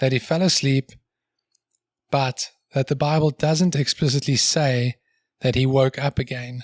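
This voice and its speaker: A man's somewhat breathy, medium-pitched voice, fairly slow and fairly even in intonation, with very even loudness and long, frequent pauses, on a dry, close, very clean recording with no echo and a silent background. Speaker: podcast co-host. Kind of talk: casual chat.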